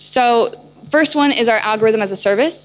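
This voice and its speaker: Over noticeable background noise, a woman talks at a very fast pace. Her pitch sits fairly high, and her intonation is lively. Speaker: chief product officer presenting at a conference. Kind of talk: conference presentation. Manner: animated.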